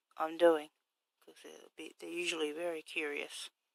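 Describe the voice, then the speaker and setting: A soft-spoken woman at a moderate pace, with a dry, close sound and no echo. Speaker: craft vlogger. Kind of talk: casual vlog. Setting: home workshop at night. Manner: hesitant, many fillers.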